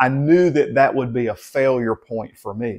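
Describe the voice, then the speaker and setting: Against a quiet background, a man with a Southern US accent talks at medium pitch and a fairly slow pace, with ordinary pitch variation. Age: 50s. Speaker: health vlogger. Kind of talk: casual talk to camera. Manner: halting, many fillers and repeats.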